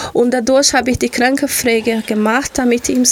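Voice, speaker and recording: A woman talks with a Portuguese accent and a high pitch. Noticeable background noise can be heard. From Brazil, Rio de Janeiro. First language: Portuguese (speaking German). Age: 40s. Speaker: local politician. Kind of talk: radio interview. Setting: radio studio. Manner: animated.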